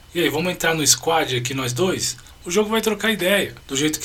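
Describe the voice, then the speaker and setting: A man with a high pitch and ordinary pitch variation speaks fairly quickly while noticeable background noise carries on. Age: 40s. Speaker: podcast host. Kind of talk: casual monologue.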